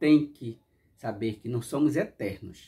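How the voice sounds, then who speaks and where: A man's dark, mellow voice is somewhat breathy, with ordinary pitch variation. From Brazil. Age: 60s. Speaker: YouTuber; vlogger. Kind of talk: casual monologue reflection; casual reflective vlog chat. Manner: halting. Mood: warm, reflective. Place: home room.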